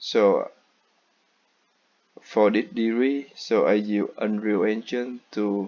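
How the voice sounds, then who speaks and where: This man talks at a very slow pace with a non-native accent. His pitch is fairly low and his intonation fairly even. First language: not English. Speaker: student. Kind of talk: class presentation.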